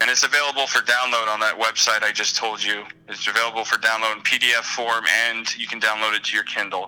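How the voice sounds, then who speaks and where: A man talks at a fairly quick pace and a medium pitch. Noticeable background noise runs behind him. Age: 30s. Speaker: online support group moderator. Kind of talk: casual interview.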